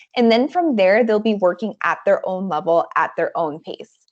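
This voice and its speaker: An unremarkable speaking voice carries lively intonation. The background is quiet. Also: woman. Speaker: edtech account manager and trainer; trainer. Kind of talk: online staff training presentation. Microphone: video call.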